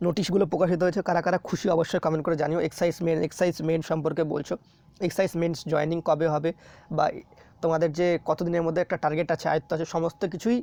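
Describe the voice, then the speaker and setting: Recorded dry and close with no echo against a quiet background, a man speaks at a high pitch in a dark, mellow tone, with flat, monotone intonation and very even loudness. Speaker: education YouTuber. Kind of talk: casual vlog talk to viewers.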